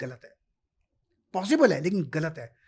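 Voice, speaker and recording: A man talks in a high voice with very wide pitch swings. The recording is very clean, with a silent background. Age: 70s. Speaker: stock market expert. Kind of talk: interview.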